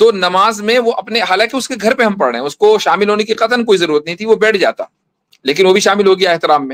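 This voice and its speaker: High-pitched for a man, this voice has lively intonation. The sound is dry and close, with no echo. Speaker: Islamic scholar, mufti. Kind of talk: religious debate.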